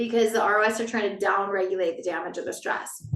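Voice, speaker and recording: A woman talks at a fairly high pitch with ordinary pitch variation. Room echo is audible. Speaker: wellness educator. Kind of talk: online wellness talk. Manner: fast.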